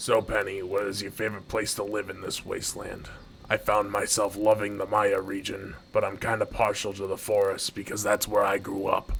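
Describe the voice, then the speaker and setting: Amid clear background noise, a man puts on a raspy character voice at a fairly low pitch and moderate pace. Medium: machinima. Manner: impatient, bossy.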